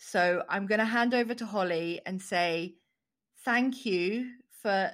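A woman's normal speaking voice at medium pitch, ordinary pitch variation, in a very clean recording with a silent background. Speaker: podcast host. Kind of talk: interview intro and chat.

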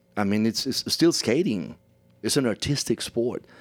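With a Spanish accent, a man of medium pitch speaks at a moderate pace. His intonation is lively, on a very clean recording with a silent background. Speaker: play-by-play announcer. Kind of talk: interview. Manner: halting.

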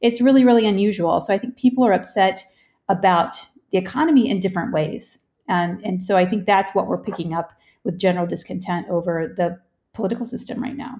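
A woman with an American accent speaks at a fairly quick pace. Her tone is dark and mellow, and somewhat breathy. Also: medium pitch for a woman, ordinary pitch variation. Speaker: political researcher. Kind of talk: news interview.

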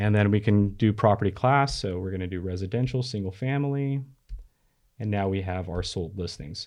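A normal speaking voice, a man with an American accent talks at a fairly low pitch and a fairly quick pace against a quiet background. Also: ordinary pitch variation. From California. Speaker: real estate software product manager. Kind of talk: casual chat; tutorial. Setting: studio.

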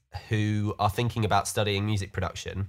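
A man speaks in a fairly low voice with a British accent. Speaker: studio owner. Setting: self-isolation, remote call.

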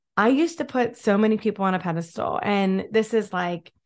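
Her tone animated, a woman talks at a moderate pace and medium pitch with ordinary pitch variation against a quiet background. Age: 30s. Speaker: podcast host. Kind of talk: motivational monologue.

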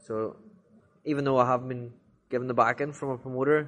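Using an Irish accent, a man speaks at a fairly quick pace and medium pitch. His intonation stays fairly even. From Ireland. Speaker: professional boxer. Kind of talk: casual interview.

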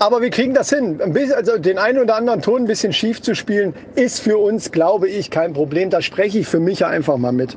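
Over noticeable background noise, a man talks very fast in a high pitch. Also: lively intonation. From northern German coast. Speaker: podcast co-host. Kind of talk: casual chat.

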